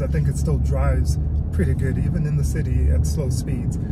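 A man speaks at a moderate pace while noticeable background noise plays underneath. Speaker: truck reviewer. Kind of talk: casual vlog chat. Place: car. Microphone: phone near.

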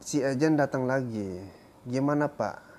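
Dark, mellow-toned man at a fairly slow pace. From Lombok, Indonesia. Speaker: vlogger and migrant worker in Brunei. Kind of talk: casual storytelling to camera. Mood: calm, reflective. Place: home room. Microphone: lapel.

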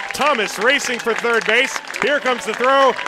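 Over noticeable background noise, a man speaks in a raised, projected voice with an animated tone. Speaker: baseball play-by-play announcer. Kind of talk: live sports commentary, play-by-play. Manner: fast-paced, animated, rising excitement on big plays; clipped, rapid-fire play calling.

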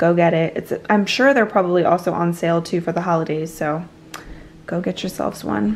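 Speaking at a fairly quick pace, a woman uses a fairly low pitch with ordinary pitch variation.

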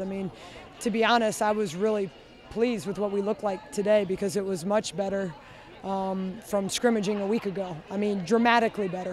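A woman speaks fairly quickly with fairly even intonation. The sound is dry with no echo, over light background noise. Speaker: head coach. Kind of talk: interview answer. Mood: pleased, measured. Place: stadium. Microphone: handheld.

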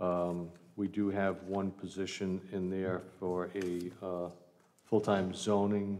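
A man's voice, dark and mellow, sits at a fairly low pitch with monotone, flat intonation. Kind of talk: budget presentation. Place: hall. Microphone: podium.

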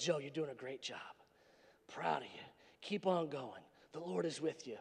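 Putting on a raspy character voice, a man speaks at a moderate pace and fairly high pitch, with lively intonation and big swings in loudness. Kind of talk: sermon. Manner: encouraging.

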